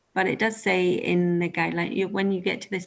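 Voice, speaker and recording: A woman with a Scottish accent speaks at a fairly low pitch. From Scotland. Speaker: respiratory nurse practitioner. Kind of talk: webinar Q&A. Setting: online webinar.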